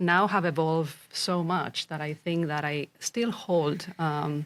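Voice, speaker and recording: Very slow and very deep in pitch, a woman speaks with a Spanish accent and fairly even intonation on a very clean recording with a silent background. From Spain, Zaragoza. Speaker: executive and fractional CEO. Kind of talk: podcast interview. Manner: hesitant, many fillers.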